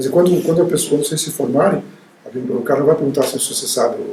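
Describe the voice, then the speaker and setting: A man speaks very fast with ordinary pitch variation. Room echo is audible and background noise is noticeable. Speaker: university professor. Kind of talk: interview. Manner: halting, with frequent repetitions.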